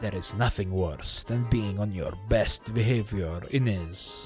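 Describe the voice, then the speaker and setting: Over faint background music, a man does a husky, put-on character voice at a fairly low pitch and a fairly slow pace. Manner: serious, whispering.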